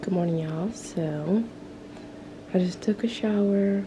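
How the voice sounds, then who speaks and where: A quiet woman with an American accent and a fairly low pitch speaks at a very slow pace with fairly even intonation, amid audible room echo and noticeable background noise. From US South, Atlanta Georgia. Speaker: vlogger. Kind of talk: casual vlog talk to camera. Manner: quiet, talking low.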